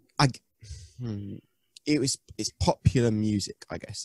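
With a British accent, a man speaks at a moderate pace in a fairly low, dark and mellow voice, with ordinary pitch variation and a dry, close sound with no echo. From UK. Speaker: emo-rap musician. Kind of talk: casual interview chat.

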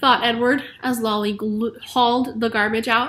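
Fairly even intonation carries through as someone is reading aloud in a natural voice.

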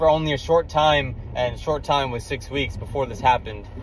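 A man speaks at a moderate pace, with a dry sound that has no echo and light background noise. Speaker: vlogger. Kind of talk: casual vlog chat. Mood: excited, grateful. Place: car. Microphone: phone near.

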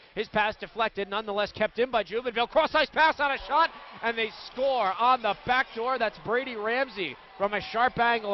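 A man talks at a fairly quick pace in an excited tone, with ordinary pitch variation and noticeable background noise. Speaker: radio play-by-play announcer. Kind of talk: live sports commentary, hockey play-by-play. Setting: arena broadcast at the game. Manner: fast, excited, rapid-fire calls that rise on goals.

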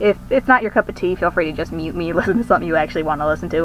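A woman talks with music in the background. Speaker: digital artist. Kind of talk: casual voice-over commentary on a speedpaint video. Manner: chatty, rambling.

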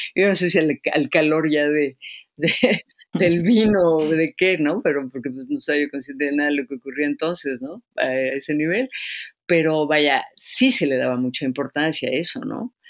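At a moderate pace, a woman with a very deep, low pitch speaks with lively intonation, the sound dry and close with no echo. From Mexico, Yucatán (Izamal). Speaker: poet and translator. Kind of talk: interview.

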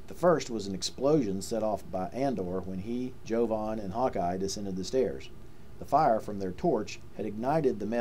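A text is read aloud in a natural voice. Its pitch moves in an ordinary way.

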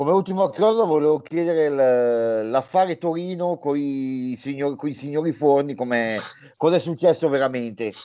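A dark, mellow tone with ordinary pitch variation, at a moderate pace with hardly any pauses, over a quiet background. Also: man, fairly high pitch for a man. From Varese-Milan area, northern Italy; Lombardy, Italy. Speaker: sports website contributor. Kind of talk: interview. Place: home room. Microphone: video call.

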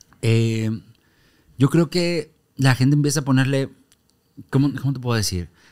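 Against a quiet background, a man speaks at a moderate pace. He leaves long, frequent pauses and uses ordinary pitch variation. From Monterrey, Mexico; Mexico. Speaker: comedian and stage actor; comedian, stage actor. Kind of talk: casual interview chat. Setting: studio. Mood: lively, amused storytelling. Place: studio. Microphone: studio mic.

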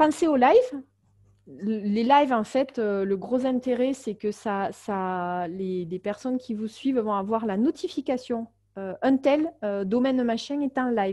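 A woman with a dark, mellow tone and fairly high pitch speaks at a very slow pace against a quiet background. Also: lively intonation. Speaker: marketing consultant and webinar trainer. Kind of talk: webinar tutorial. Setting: online webinar. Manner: many filler hesitations.

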